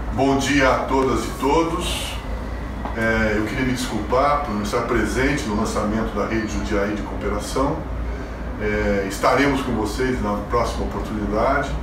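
Noticeable background noise and audible room echo around a man talking at a moderate speed. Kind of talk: recorded video greeting. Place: home room.

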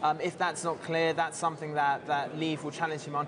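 A man is heard with a fairly high pitch. Noticeable background noise runs behind him. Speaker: political journalist. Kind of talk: live TV interview. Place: hall. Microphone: lapel.

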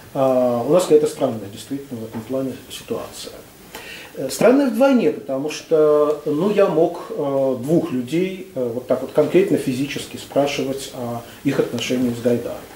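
Lively intonation marks this man's moderate-paced speech, with room echo audible and light noise in the background. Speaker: discussant. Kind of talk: discussion. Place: meeting room.

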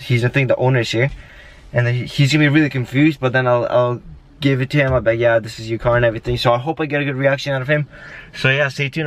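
A man talks very fast in a monotone, flat intonation. The sound is dry, with no echo. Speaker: vlogger. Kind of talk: casual vlog chat. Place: car. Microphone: phone near.

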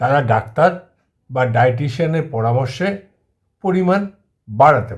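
Here a man talks with lively intonation. His voice comes across somewhat breathy. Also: medium pitch for a man. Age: 60s. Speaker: kidney patient and health video host. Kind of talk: informational monologue.

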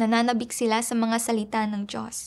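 A woman speaks at a moderate pace in a fairly high pitch. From Myanmar. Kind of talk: testimony.

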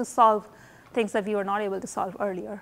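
A fairly quick pace from a woman's voice. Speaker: professor; university lecturer. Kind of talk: lecture. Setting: lecture hall with students. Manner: informal, hesitant with fillers. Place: hall.

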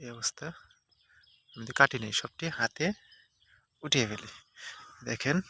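Heard in a dry, close sound with no echo, a man's bright, sharp voice sits at medium pitch with ordinary pitch variation and big swings in loudness. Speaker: farmer and farming vlogger. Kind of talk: casual tutorial.

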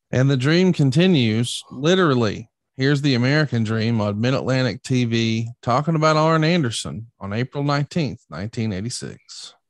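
Against a quiet background, a man speaks at a moderate pace with ordinary pitch variation and hardly any pauses, in a dry sound with no echo. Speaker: podcast host. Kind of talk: casual interview and history recap. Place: home room. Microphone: studio mic.

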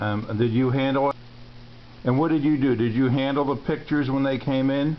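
A man with an unremarkable speaking voice talks at a fairly quick pace and medium pitch, his intonation fairly even. Light background noise sits behind him. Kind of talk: interviewer questions. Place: home room. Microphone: phone near.

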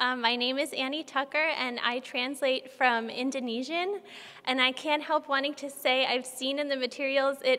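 Her pitch high and her intonation fairly even, a woman speaks at a moderate pace. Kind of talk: introduction before a literary reading. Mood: warm, smiling. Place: hall. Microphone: podium.

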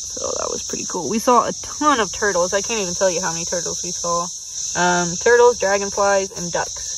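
The speech moves at a fairly quick pace. The sound is dry with no echo, and noticeable background noise is present. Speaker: kayaking trip vlogger. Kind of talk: casual vlog chat. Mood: relaxed, recalling the trip. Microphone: phone near.

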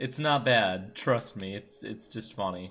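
With faint music in the background, a man speaks at a very slow pace and a fairly low pitch. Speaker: gaming YouTuber. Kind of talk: let's play commentary. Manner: sarcastic. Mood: amused, self-mocking.

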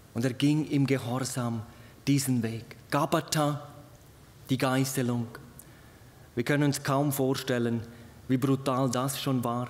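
Very slowly and in a monotone, flat intonation, a man talks at a medium pitch. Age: 40s. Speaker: evangelist preacher. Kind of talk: sermon. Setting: hall with live audience, livestreamed. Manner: earnest. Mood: earnest, warm. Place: hall. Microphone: podium.

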